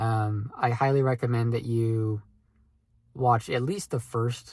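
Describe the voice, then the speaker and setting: The man's voice sits at a medium pitch. There is a somewhat breathy quality to it. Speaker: aspiring content creator vlogger. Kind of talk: casual vlog monologue. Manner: slow with pauses; hesitant, many fillers.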